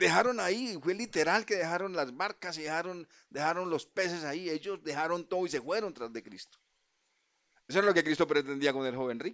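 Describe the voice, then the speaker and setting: Moving at a fairly quick pace, a man speaks in a high pitch with lively intonation. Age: 70s. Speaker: guest preacher. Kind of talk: sermon. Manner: halting.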